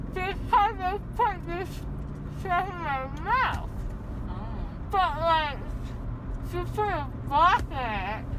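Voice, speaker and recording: Over noticeable background noise, a woman speaks at a very slow pace. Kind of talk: casual groggy chat. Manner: numb, slurred speech, drowsy. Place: car.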